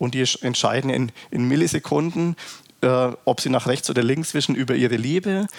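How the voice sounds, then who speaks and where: At a moderate pace, a man with medium pitch and ordinary pitch variation speaks in an unremarkable speaking voice with very even loudness. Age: 40s. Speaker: company executive. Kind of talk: interview.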